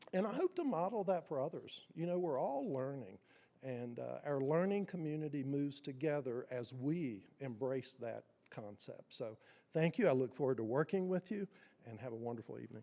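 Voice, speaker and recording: A man with a strong Appalachian accent speaks in a dark, mellow tone with lively intonation. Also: fairly high pitch for a man, moderate pace. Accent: strong southwest Virginia Appalachian. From Wise County, southwest Virginia (Appalachia). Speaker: school superintendent. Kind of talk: formal introductory remarks. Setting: city council meeting.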